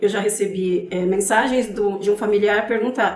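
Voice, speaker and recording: A woman's fairly high voice at a moderate pace, fairly even in intonation, with audible room echo. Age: 50s. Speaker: advocate for elderly caregivers. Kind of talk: podcast interview.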